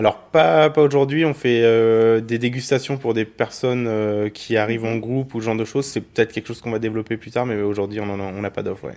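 A man of medium pitch at a fairly quick pace, with fairly even intonation and a quiet background. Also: hardly any pauses. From Burgundy, France. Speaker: wine merchant. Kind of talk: street interview. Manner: hesitant, many fillers.

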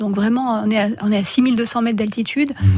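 With a plain, everyday voice, a woman talks at a fairly quick pace, her pitch fairly high and her intonation fairly even. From France, Hautes-Alpes. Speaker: rock climber and writer. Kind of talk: radio interview.

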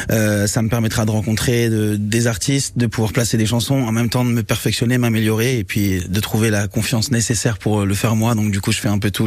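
At a fairly quick pace, a man with a fairly low pitch talks in a monotone, flat intonation while noticeable background noise sounds behind him. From Mauritius. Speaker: singer-songwriter. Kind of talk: radio interview. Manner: halting, many repetitions and fillers.

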